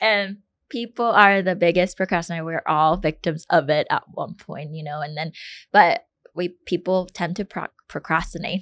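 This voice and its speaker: A woman at a fairly low pitch with ordinary pitch variation, a moderate pace and big swings in loudness, in a dry, close sound with no echo over a quiet background. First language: not English. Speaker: podcast co-host, financial advisor. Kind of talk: casual chat. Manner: halting, many fillers.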